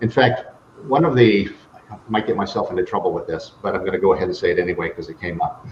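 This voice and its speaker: A man with an American accent talks at a very fast pace. Noticeable background noise is present. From Buffalo, New York, US. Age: 60s. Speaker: life strategist, speaker and author. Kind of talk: interview.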